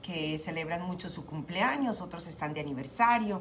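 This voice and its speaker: A woman talks at a fairly quick pace with ordinary pitch variation. Light background noise sits behind her. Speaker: radio show host. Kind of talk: radio host greeting and devotional talk. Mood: warm, grateful, encouraging. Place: home room. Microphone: studio mic.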